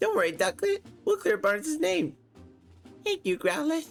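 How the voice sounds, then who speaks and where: A put-on character voice, pitched high with very wide swings, moves at a moderate pace over faint background music. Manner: silly.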